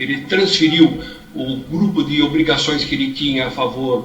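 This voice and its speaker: Audible room echo and noticeable background noise surround the speaker. A man talks at a fairly slow pace. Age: 70s. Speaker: lawyer, defendant. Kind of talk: court testimony. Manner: halting, repeats words; formal.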